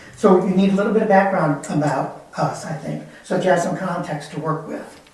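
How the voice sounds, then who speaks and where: A man talks at a fairly quick pace with fairly even intonation. Audible room echo and noticeable background noise are present. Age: 70s. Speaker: resident addressing city council. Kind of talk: public comment at council meeting. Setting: council chambers. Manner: halting.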